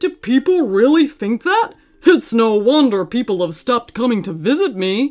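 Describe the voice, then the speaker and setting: A put-on character voice, fairly high in pitch and female-sounding. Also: moderate pace. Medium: read story. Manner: gentle, old-fashioned, fussing.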